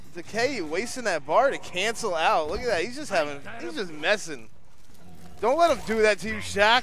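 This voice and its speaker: Against noticeable background noise, a man talks at a moderate pace and a high pitch. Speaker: fighting game tournament organizer and commentator. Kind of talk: casual live stream commentary. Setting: warehouse venue at live gaming event.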